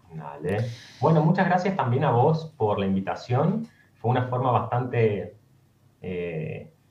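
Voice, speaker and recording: The voice moves at a fairly slow pace with vocal fry and very wide pitch swings. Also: man, medium pitch for a man. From Argentina, Córdoba. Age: 30s. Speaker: former seminarian. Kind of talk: interview. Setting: video call.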